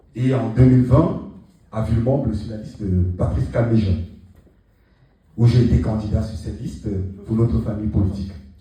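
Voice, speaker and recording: With music in the background and audible room echo, a man speaks at a fairly quick pace in a fairly low pitch, with ordinary pitch variation, big swings in loudness, and long, frequent pauses. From France, Seine-Saint-Denis (Paris suburbs). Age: 30s. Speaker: political candidate. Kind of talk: campaign speech. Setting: rally in a town hall. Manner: hesitant, many fillers.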